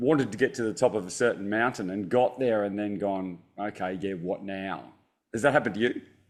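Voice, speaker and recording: Over a silent background in a very clean recording, a man talks at a fairly quick pace with an Australian accent. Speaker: optometrist and stress resilience author. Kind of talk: interview conversation. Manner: halting, repeats words.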